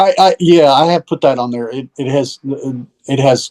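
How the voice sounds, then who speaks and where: The speaker has a slight Southern US accent. Pitch variation is ordinary. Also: man. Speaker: musician and recording teacher. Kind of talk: casual chat.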